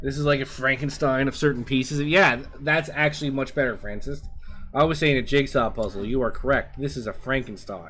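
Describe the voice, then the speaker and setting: With music playing behind him, a man talks with ordinary pitch variation. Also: fairly high pitch for a man, fairly quick pace. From Canada. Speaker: video game streamer. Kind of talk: casual gameplay commentary. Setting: live stream.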